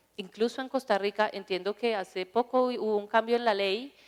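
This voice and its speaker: Fairly high female voice with a Colombian accent, fairly even intonation and a moderate pace. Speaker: drug policy panelist. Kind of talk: conference panel talk.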